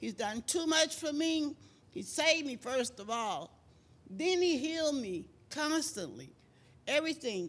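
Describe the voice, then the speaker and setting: A woman speaks with an American accent and lively intonation. The recording is very clean, with a silent background. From Texas. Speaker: churchgoer. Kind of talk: testimony. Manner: animated.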